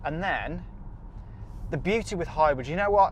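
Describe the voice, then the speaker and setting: In an English accent, a man speaks with a high pitch amid audible room echo. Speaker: car reviewer. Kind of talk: car review to camera while driving. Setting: in a car. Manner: loud; enthusiastic.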